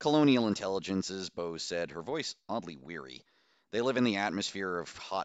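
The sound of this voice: Unforced voice, reading text aloud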